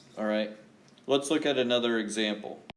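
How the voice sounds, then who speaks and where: A man speaks at a medium pitch with ordinary pitch variation. The room echo is audible. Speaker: high school math teacher. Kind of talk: classroom lecture. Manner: slow, deliberate.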